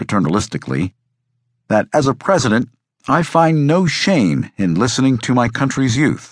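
A man talks at a moderate pace with vocal fry and very wide pitch swings. The sound is dry and close with no echo, over a quiet background. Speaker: audiobook narrator. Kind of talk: scripted narration, audiobook reading of a history book; dramatic narration. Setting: studio. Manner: measured, dramatic, formal.

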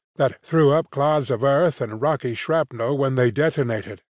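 An unremarkable speaking voice at a moderate pace, with ordinary pitch variation and a dry, close sound with no echo against a quiet background. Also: man. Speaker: audiobook narrator. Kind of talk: dramatic audiobook narration of a gritty sword-and-sorcery gunfight. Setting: studio. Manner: tense, suspenseful pacing through action beats; wry, dry delivery of grim humor.

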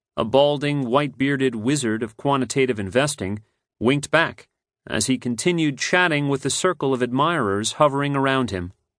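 A man speaks at a moderate pace in an ordinary speaking voice with ordinary pitch variation. The background is quiet. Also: medium pitch for a man. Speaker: audiobook narrator. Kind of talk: audiobook narration, scripted reading aloud of nonfiction. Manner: measured, polished, steady storytelling pace.

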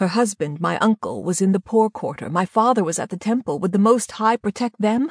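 Somewhat breathy and fairly high in pitch, a woman speaks at a moderate pace with lively intonation in a dry, close recording with no echo. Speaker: audiobook narrator. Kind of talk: dramatic audiobook narration, first person. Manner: tense, vivid, urgent storytelling.

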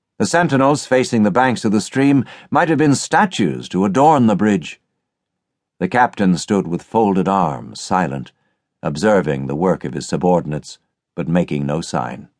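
With a very deep, low pitch and vocal fry, a man talks at a moderate pace through very wide pitch swings. Behind him the background is quiet. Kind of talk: scripted audiobook narration of a short story. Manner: measured, formal, solemn.

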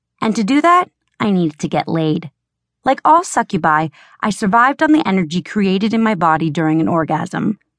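A woman speaks at a fairly quick pace with medium pitch and very wide pitch swings. Her tone is intense, and the sound is dry and close with no echo. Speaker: audiobook narrator. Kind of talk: dramatic first-person audiobook narration, romance fantasy. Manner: intense, urgent, sultry and sardonic; expressive, shifts to heated dialogue.

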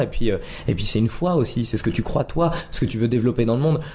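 A man talks very fast in a somewhat breathy voice. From Lorraine, France (Nancy). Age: 30s. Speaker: comedian. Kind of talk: casual interview. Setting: at home.

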